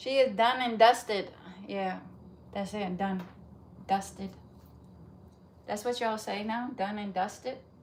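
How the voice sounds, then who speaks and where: Speaking at a fairly slow pace with long, frequent pauses, the voice rises and falls widely in loudness against audible room echo. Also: woman, medium pitch for a woman. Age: 40s. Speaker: fitness livestreamer. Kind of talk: casual live-chat talk. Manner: animated.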